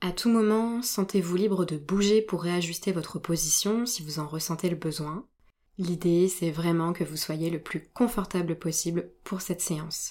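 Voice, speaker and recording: A woman speaks at a fairly slow pace with a dark, mellow tone and a gentle, soothing quality. Her pitch sits fairly low and moves with ordinary variation. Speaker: yoga nidra guide. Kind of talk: guided meditation. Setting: solo recorded session. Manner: slow, soothing, calm; gentle, soft-spoken, with long pauses.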